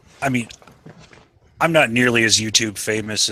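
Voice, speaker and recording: Noticeable background noise sits behind this recording. A man speaks at a moderate pace and a medium pitch. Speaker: YouTuber. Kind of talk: casual chat.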